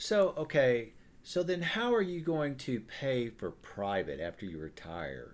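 On a very clean recording with a silent background, a man with an American accent speaks at a fairly slow pace through very wide pitch swings. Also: medium pitch for a man. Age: 60s. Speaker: podcast host. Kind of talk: casual chat.

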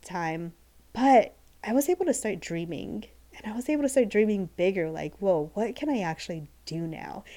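On a very clean recording with a silent background, a woman with a Midwestern accent talks at a moderate pace and medium pitch. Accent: General American (Midwest). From US Midwest (Ohio). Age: 40s. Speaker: podcast host, business coach and photographer. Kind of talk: casual solo podcast monologue. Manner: enthusiastic, chatty.

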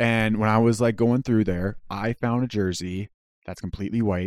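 In a very clean recording with a silent background and a dry, close sound with no echo, a man with a Canadian accent and a fairly low pitch speaks at a moderate pace. His is a plain, everyday voice with fairly even intonation. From Canada. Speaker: podcast guest. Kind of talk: casual chat.

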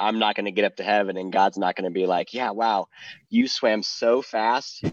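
At a moderate pace, a normal speaking voice comes through in a dry, close sound with no echo. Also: man. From Ohio. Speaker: professional swimmer. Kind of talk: casual chat.

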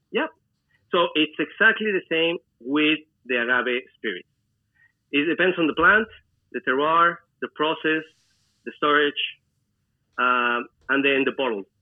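A man with a Spanish accent speaks at a fairly slow pace in a fairly high pitch. His intonation is lively, and he takes long, frequent pauses. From Mexico, Celaya, Guanajuato. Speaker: mixologist and restaurant owner. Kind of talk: interview. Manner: halting.

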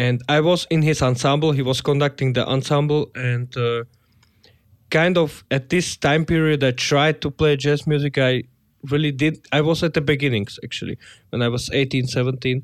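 Fairly high male voice at a moderate pace with fairly even intonation, on a very clean recording with a silent background. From Slovakia. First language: Slovak. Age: 20s. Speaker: jazz pianist. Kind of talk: interview. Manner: halting.

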